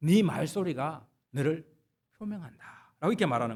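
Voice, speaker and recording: The intonation is lively and the pace moderate. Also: man. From South Korea, Gyeongsangnam-do (Jinju). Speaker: pastor. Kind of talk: sermon.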